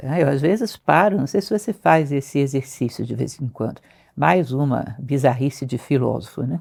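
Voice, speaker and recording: A woman's very deep, low voice with vocal fry and very wide pitch swings, at a moderate pace, on a very clean recording with a silent background. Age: 60s. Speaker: philosophy teacher. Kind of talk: interview conversation.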